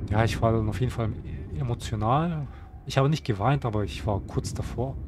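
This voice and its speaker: Against noticeable background noise, a man with a medium pitch speaks fairly quickly and with lively intonation. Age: 30s. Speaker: gaming YouTuber. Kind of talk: casual monologue to viewers. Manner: halting, many fillers and repetitions.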